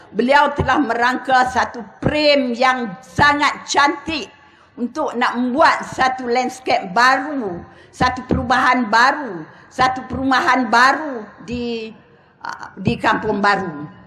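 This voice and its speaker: Raising and projecting her voice, a woman speaks at a high pitch with ordinary variation and a very slow pace. The recording carries audible room echo and noticeable background noise. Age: 70s. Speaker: politician. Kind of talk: political rally speech.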